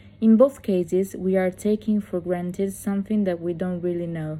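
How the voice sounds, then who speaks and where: A woman with an Italian accent, medium-pitched, in a dark, mellow tone with fairly even intonation. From Italy. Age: 20s. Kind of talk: motivational talk to camera.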